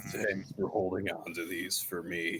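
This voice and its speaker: This is a put-on character voice with a raspy edge. It moves at a moderate pace. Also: man. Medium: actual play. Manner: terse, deadpan one-liners.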